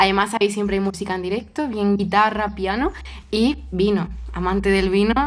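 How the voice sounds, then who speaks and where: A normal speaking voice from a woman, medium in pitch, with fairly even intonation and a moderate pace. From Spain, Toledo. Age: 20s. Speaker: cellist and coach. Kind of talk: casual chat.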